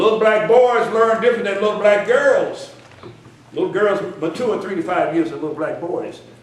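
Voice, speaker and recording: The tone is animated, with ordinary pitch variation at a moderate pace. Background noise is noticeable. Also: man, high pitch for a man. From US South, Memphis, Tennessee. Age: 60s. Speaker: educator and minister. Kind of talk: conference speech. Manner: animated, repetitive emphasis.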